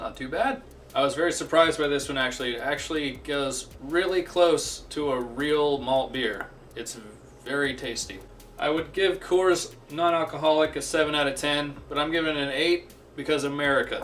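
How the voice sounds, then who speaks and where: Noticeable background noise sits behind a man with a fairly high-pitched voice. He keeps a moderate pace and fairly even intonation. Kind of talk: comedic beer review talk to camera. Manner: crude, profane, sarcastic.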